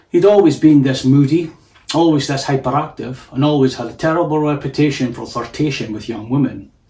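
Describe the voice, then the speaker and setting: Somewhat breathy and fairly high in pitch, a man speaks at a fairly quick pace with ordinary pitch variation and big swings in loudness. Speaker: author reading own story. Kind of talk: audiobook narration of a story.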